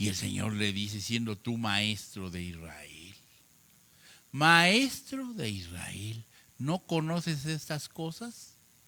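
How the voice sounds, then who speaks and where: A man speaks at a very slow pace with a bright, sharp tone. His medium pitch swings very widely. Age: 70s. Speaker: preacher. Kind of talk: sermon.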